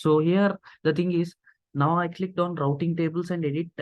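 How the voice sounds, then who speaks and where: At a moderate pace, a man talks in a high pitch. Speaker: cloud computing tutor. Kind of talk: screen-recorded tutorial.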